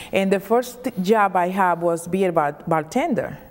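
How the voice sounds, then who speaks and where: Speaking at a moderate pace with a Dominican accent, a woman keeps a medium pitch and ordinary pitch variation. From Dominican Republic. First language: Spanish. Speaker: state legislator. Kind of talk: interview.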